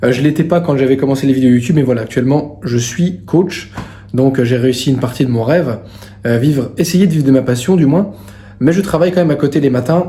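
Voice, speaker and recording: A man's fairly high voice at a fairly quick pace with ordinary pitch variation, amid audible room echo and noticeable background noise. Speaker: fitness coach and vlogger. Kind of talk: casual vlog. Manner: loud; hesitant, many fillers.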